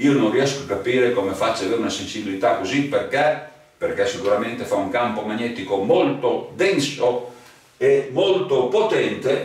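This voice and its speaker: A man keeps a moderate pace as noticeable background noise continues in the background. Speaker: metal detector seller. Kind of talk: sales pitch. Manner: animated.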